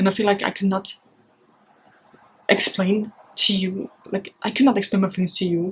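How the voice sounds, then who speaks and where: A woman speaks with a German accent at medium pitch. Her voice is somewhat breathy, with fairly even intonation. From Europe. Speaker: book vlogger. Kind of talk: casual vlog. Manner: halting.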